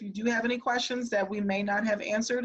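Fairly high-pitched, a woman's voice keeps fairly even intonation. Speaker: school district administrator. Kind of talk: virtual town hall address. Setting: video call. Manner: fast.

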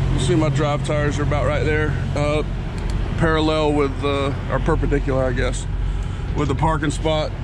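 The speech moves at a moderate pace. Noticeable background noise sits under a dry sound with no echo. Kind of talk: tutorial. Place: car. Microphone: phone near.

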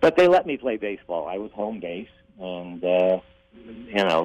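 In an American accent, a man with a fairly low pitch speaks at a moderate pace with lively intonation, the sound dry and close with no echo and noticeable background noise. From Ohio, US Midwest (Toledo). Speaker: actor and comedian. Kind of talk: interview.

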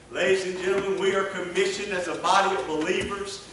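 A man's voice sits at a high pitch. Audible room echo and light background noise come through. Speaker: revival preacher. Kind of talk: impassioned revival sermon building to an altar call. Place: church.

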